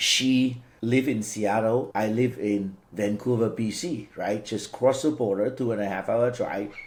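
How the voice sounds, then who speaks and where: At a fairly slow pace, a man with a Cantonese accent talks at a medium pitch. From Vietnam, Cantonese-speaking family. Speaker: franchise business owner. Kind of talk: interview. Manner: halting, repeats words.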